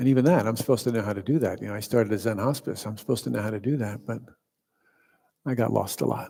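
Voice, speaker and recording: Soft-spoken and very fast, a man talks at a medium pitch with ordinary pitch variation and vocal fry. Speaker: meditation teacher. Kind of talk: dharma talk. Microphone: quiet, volume turned up.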